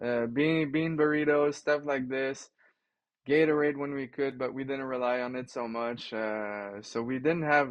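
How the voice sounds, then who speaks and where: Using a plain, everyday voice, a man talks fairly slowly at a medium pitch with fairly even intonation. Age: 30s. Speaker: cyclist and bikepacker. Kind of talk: casual interview.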